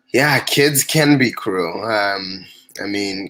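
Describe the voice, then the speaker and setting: With a bright, sharp tone and a fairly low pitch, this man speaks with ordinary pitch variation. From refugee camp in Tanzania, born in DR Congo. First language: not English. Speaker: refugee storyteller. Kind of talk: interview. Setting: livestream. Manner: hesitant, many fillers.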